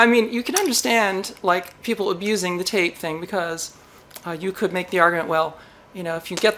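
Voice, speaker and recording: Fairly quick speech with fairly even intonation over light background noise. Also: woman. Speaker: electronics hobby channel host. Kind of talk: casual vlog chat. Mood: playful, mildly exasperated. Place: workshop.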